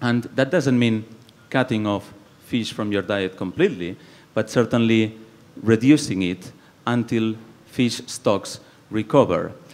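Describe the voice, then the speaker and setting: A man's medium-pitched voice at a fairly slow pace, with long, frequent pauses and ordinary pitch variation. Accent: Spanish. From Spain, Barcelona (Catalonia). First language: Spanish or Catalan. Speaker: environmental policy researcher. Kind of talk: panel discussion. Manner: halting.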